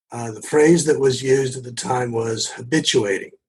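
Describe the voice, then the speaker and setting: With fairly even intonation, somewhat breathy speech proceeds at a moderate pace. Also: man. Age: 70s. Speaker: addiction medicine physician. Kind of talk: podcast interview.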